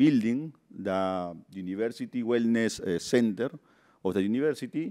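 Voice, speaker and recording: Recorded very cleanly against a silent background, a man with a Peruvian accent speaks at medium pitch in a dark, mellow tone with lively intonation. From Peru, Lima. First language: Spanish. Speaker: construction project manager. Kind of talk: conference presentation. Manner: halting, many fillers.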